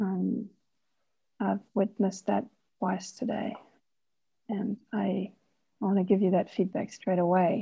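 This woman, at a medium pitch, has a dark, mellow tone with vocal fry, speaking at a fairly slow pace with fairly even intonation and long, frequent pauses. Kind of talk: group exercise discussion. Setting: video call.

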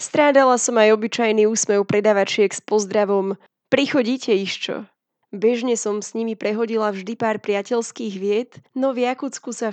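A woman's ordinary speaking voice, fairly high in pitch, with fairly even intonation, a moderate pace, a dry, close sound with no echo, and a quiet background. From Slovakia. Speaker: travel writer. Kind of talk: scripted narration.

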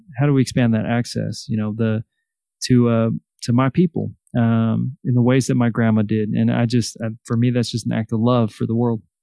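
A man of medium pitch speaks at a fairly quick pace with fairly even intonation. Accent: Californian. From Salinas, California. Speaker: author and educator. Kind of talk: interview.

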